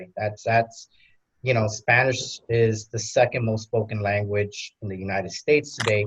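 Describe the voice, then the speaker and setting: A somewhat breathy man with an American accent speaks at a moderate pace with fairly even intonation and big swings in loudness. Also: medium pitch for a man. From New York, Queens. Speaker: panelist father. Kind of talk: panel discussion.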